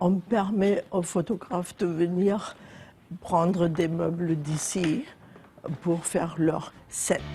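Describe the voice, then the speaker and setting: A woman speaks at a very slow pace with a fairly low pitch, her intonation fairly even and her loudness very even. Long pauses come often, and noticeable background noise runs underneath. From Germany, Zweibrücken (western Germany). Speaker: building owner. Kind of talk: casual chat. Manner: halting.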